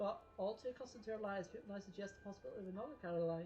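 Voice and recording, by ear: The passage is read aloud in a natural voice.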